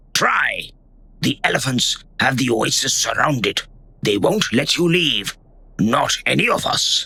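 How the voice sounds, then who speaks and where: A man does a put-on character voice, raspy and fairly high-pitched, at a fairly slow pace with very even loudness and long, frequent pauses. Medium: audio drama. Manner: stern, accusing.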